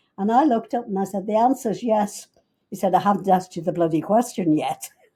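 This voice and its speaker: In a Liverpool accent, a woman speaks at a very fast pace with medium pitch, ordinary pitch variation and a dark, mellow, somewhat breathy tone. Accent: Liverpool English (Scouse), long lived in US. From Liverpool, England. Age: 90s. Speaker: businesswoman, family matriarch. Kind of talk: interview storytelling.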